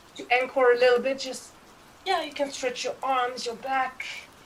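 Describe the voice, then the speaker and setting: Through noticeable background noise, a woman can be heard speaking. Her pitch is high and her pace moderate. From Belgium. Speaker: professional cuddler, former actress and singer. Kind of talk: guided relaxation. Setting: video call.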